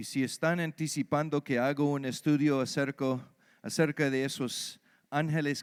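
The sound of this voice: In an American accent, a man speaks at a fairly slow pace with a clear, smooth tone, fairly high pitch and ordinary pitch variation, on a very clean recording with a silent background.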